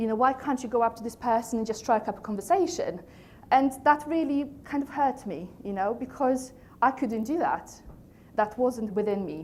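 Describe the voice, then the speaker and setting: In a Polish accent, a woman with a high pitch speaks at a moderate pace with lively intonation. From Poland. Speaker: coach and trainer, company founder. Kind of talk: motivational talk to a live audience.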